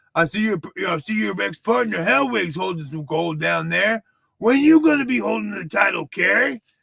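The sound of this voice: A man puts on a character voice, high in pitch. He speaks at a moderate pace.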